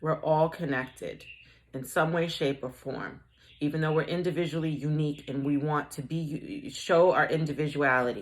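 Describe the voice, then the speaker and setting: With a slight Boston accent, a woman speaks in a very deep, low pitch at a moderate pace, her intonation fairly even. The recording is very clean, with a silent background. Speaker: tarot/oracle reader. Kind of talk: collective oracle reading. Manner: casual, with frequent self-corrections.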